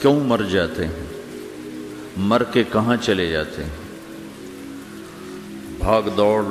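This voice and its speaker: Noticeable background noise fills the recording. Over it, a man is talking. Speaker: Islamic preacher. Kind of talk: Islamic sermon (bayan). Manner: calm, comforting, emotional.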